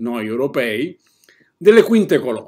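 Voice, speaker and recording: A man speaks with very wide swings in pitch, and the background is quiet. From Italy. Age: 60s. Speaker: political commentator. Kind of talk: political commentary monologue; political commentary. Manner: hesitant fillers. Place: home room.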